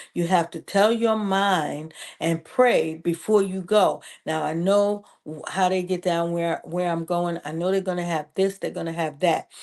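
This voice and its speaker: With a plain, everyday voice, a woman speaks at a fairly slow pace, fairly low in pitch and fairly even in intonation, against a quiet background. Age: 60s. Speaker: preacher and women's ministry leader. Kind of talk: motivational health talk.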